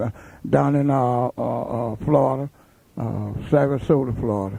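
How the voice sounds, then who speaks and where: This man's voice has a dark, mellow tone and a medium pitch. He talks at a moderate pace with an American accent. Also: ordinary pitch variation. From US South, Mississippi. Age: 60s. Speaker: blues harmonica player. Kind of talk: radio interview. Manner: halting.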